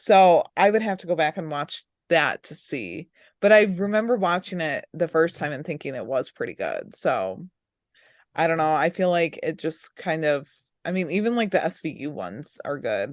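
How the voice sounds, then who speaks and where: This woman has an unremarkable speaking voice, fairly low in pitch with ordinary pitch variation and big swings in loudness, over a quiet background. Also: moderate pace, dry, close sound with no echo. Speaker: podcast co-host. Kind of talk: casual chat.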